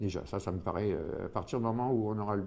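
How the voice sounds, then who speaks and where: Moving at a fairly quick pace, a man speaks in a fairly low voice with a dark, mellow tone and ordinary pitch variation. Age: 60s. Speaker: former homeless man, retiree. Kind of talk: testimony. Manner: halting, many hesitations.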